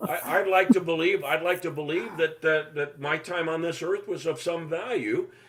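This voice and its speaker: Noticeable noise sits in the background. The pace is moderate, and the pitch varies in an ordinary way. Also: man. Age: 70s. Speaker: retired baseball broadcaster. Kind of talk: casual chat.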